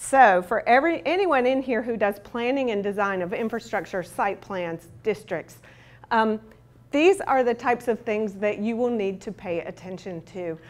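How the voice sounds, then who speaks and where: Heard in a very clean recording with a silent background, a plain, everyday voice moves at a moderate pace with lively intonation. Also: woman, fairly high pitch for a woman. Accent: American. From US South. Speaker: urban planning consultant. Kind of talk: conference presentation.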